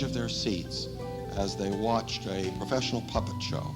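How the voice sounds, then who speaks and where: Over music in the background, a man speaks at a fairly low pitch. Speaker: elementary school principal. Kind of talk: testimonial interview.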